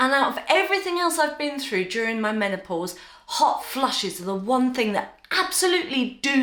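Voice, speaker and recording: A woman speaks in a British accent with a warm tone, high pitch and very wide pitch swings. Noticeable background noise sits behind her. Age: 50s. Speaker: menopause lifestyle vlogger. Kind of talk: casual talk to camera. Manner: chatty, warm, humorous.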